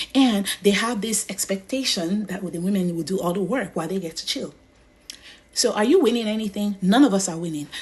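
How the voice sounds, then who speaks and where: A woman speaks at a fairly quick pace with a Nigerian accent. Her pitch sits in the medium range, with ordinary variation and an animated tone. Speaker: social media commentator. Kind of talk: casual monologue. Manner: animated, repetitive.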